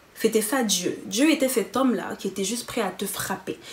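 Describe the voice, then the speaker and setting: An animated voice with lively intonation speaks at a moderate pace over noticeable background noise. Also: woman. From Cameroon. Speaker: YouTuber. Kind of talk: testimony.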